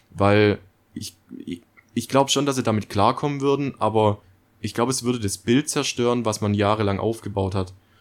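Speaking at a moderate pace, a man uses medium pitch with ordinary pitch variation. Long pauses come often. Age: 20s. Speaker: podcast co-host. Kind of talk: casual chat.

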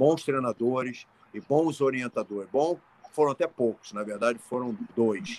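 The recording of this man at a moderate pace is dry and close, with no echo. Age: 60s. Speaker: martial arts and fitness coach. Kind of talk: casual interview. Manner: halting, repetitive.

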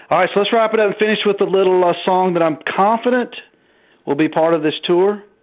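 A man talks in a Southern US accent. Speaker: podcast host. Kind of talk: casual chat.

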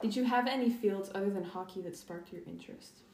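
Speaking at a very fast pace with ordinary pitch variation, a woman is heard over noticeable background noise. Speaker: student podcast host. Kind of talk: interview.

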